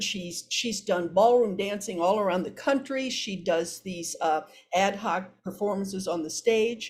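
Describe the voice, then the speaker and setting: A woman speaks at a fairly slow pace in a somewhat breathy voice of medium pitch. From US Midwest (Iowa). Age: 70s. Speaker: psychotherapist. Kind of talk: podcast interview. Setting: podcast. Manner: halting, frequent repetitions.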